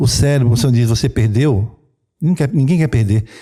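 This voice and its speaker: On a very clean recording with a silent background, a man speaks in a dark, mellow tone that is somewhat breathy. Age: 60s. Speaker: traditional Chinese medicine practitioner. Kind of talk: interview.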